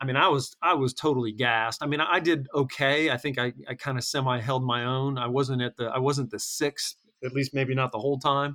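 A man talks at a fairly quick pace and medium pitch, with hardly any pauses and fairly even intonation. His tone is bright and sharp, and the sound is dry and close with no echo. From North Carolina (Hickory), moved from Michigan as a kid. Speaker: podcast guest, fitness group member. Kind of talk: casual interview.

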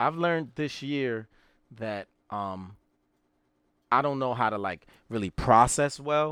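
A man at medium pitch speaks at a fairly slow pace with long, frequent pauses and lively intonation, recorded very cleanly against a silent background. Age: 30s. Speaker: podcast co-host. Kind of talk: casual chat.

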